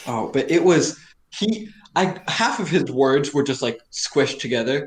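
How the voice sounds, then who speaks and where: Somewhat breathy, a man's fairly high voice carries lively intonation. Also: fairly slow pace. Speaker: podcast guest. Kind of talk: casual chat. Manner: words run together.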